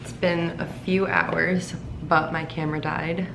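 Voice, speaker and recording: Audible room echo colors a woman's voice. Noticeable background noise is also present. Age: 20s. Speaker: vlogger, recent college graduate. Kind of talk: casual vlog monologue. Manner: hesitant, many fillers.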